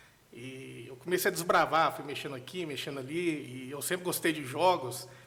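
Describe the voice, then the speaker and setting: A bright, sharp tone with a Minas Gerais accent, moderate pace, ordinary pitch variation and big swings in loudness. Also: man, fairly high pitch for a man. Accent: Mineiro (Minas Gerais) Brazilian Portuguese. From Brazil, Minas Gerais (Nova Serrana). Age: 30s. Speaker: software architect and tech lead. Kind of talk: podcast interview. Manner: casual, conversational.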